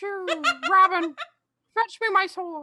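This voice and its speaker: A woman uses a put-on character voice. It is squeaky, with an extremely high pitch. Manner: drowsy, mumbling.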